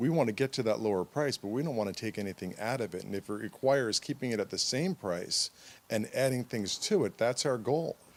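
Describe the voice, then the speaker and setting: A man's medium-pitched, an ordinary speaking voice with ordinary pitch variation at a fairly quick pace, in a very clean recording with a silent background. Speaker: mattress store owner. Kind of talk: interview answer.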